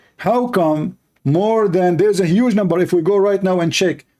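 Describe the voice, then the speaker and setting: A man with an Arabic accent speaks at a moderate pace, his pitch high for a man and his tone dark and mellow. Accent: clear Arab. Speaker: religious debater, live streamer. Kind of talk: live stream commentary. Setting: live stream with Skype calls. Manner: animated.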